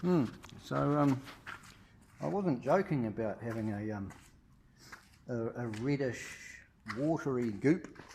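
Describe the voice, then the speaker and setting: A man with a New Zealand accent speaks at medium pitch with lively intonation. His pace is fairly slow, with long, frequent pauses. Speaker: car owner. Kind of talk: casual talk to camera. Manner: rambling, hesitant, profane.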